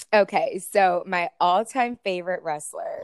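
With an American accent and a medium pitch, a woman speaks with ordinary pitch variation in a dry, close sound with no echo. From US South, Florida (Tampa Bay). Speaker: escort and former podcast host. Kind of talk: casual interview chat.

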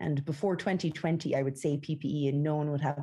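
The speaker talks at a fairly quick pace. The accent is Irish. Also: woman. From west of Ireland. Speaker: company founder and CEO. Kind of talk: interview.

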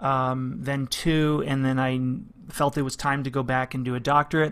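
A man's fairly high voice, an unremarkable speaking voice at a moderate pace. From Canada, London, Ontario. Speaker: clarinet professor. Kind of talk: casual interview.

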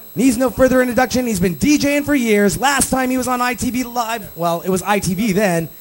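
An extremely high-pitched man's voice, energetic in tone, with lively intonation at a moderate pace amid noticeable background noise. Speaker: webcast DJ show host and producer. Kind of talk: live show hosting. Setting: studio. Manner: energetic radio announcer style.

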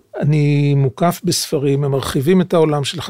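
A man's fairly high-pitched voice has a dark, mellow tone and a dry, close sound with no echo. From Israel, Jerusalem. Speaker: author and translator, former intelligence service. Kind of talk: interview. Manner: halting.

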